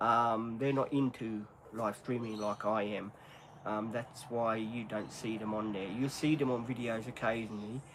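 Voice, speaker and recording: A man with an Australian accent speaks at a moderate pace in a monotone, flat intonation. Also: medium pitch for a man. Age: 50s. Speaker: live streamer. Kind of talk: casual chat. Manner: halting.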